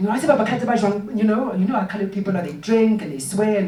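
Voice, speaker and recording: Very fast speech amid noticeable background noise. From South Africa, Gauteng (Katlehong). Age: 30s. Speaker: artist and writer leading a workshop. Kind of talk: workshop talk, personal storytelling. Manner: hesitant, many fillers.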